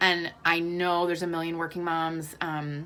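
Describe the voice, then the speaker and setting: A woman speaks in a fairly low pitch with a bright, sharp tone. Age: 30s. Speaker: working mom vlogger. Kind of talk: casual vlog monologue. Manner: casual, halting with fillers.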